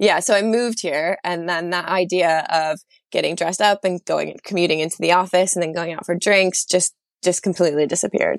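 Speaking at a fairly quick pace with a New York accent, a woman uses a fairly low pitch and fairly even intonation. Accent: American (New York). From upstate New York, US. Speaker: graphic designer turned psychology student. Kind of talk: casual interview chat.

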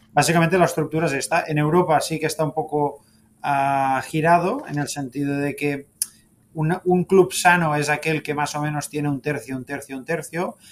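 Speaking in a plain, everyday voice, a man with a fairly high pitch keeps to a moderate speed. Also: fairly even intonation. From Spain, Catalonia (Sabadell). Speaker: football club executive. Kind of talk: interview.

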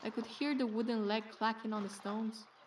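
Noticeable background noise behind a woman's fairly high voice, her pace moderate. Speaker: anxious boatman's wife character. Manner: fretful, chatty, working-class London.

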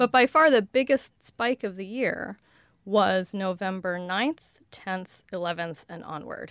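A woman speaks at a fairly slow pace in a medium pitch with ordinary pitch variation, recorded very cleanly against a silent background with a dry, close sound and no echo. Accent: Western US. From US West (Colorado). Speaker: lexicographer. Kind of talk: casual interview. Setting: studio.

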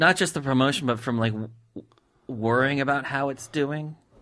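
This man's voice sits fairly high in pitch, captured in a very clean recording with a silent background. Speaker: interviewer and podcast host. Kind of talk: casual interview.

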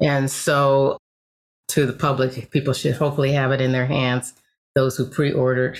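A woman talks in a very deep, low voice with flat, monotone intonation and very even loudness. The recording is very clean, with a silent background. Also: moderate pace. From Los Angeles, US. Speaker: Zen priest and author. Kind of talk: interview.

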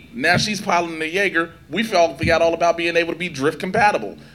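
There is noticeable background noise as a speaker with an American accent talks with ordinary pitch variation. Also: man. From Chicago South Side, US. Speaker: entertainment interviewer and panelist. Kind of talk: convention panel discussion.

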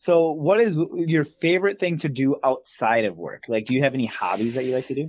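In an unremarkable speaking voice, a fairly high-pitched man talks at a fairly quick pace with lively intonation and hardly any pauses. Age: 30s. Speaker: podcast co-host. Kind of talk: casual chat.

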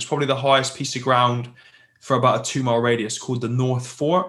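A man speaks with a West Country accent. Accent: southwest English (Plymouth). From southwest England. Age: 30s. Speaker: military veteran and business leader. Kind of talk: casual interview, telling his life story.

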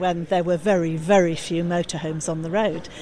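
A woman speaks at a fairly quick pace with fairly low pitch and fairly even intonation, over noticeable background noise. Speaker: campaigner for a motorhome parking organisation. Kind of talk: interview answers at a show.

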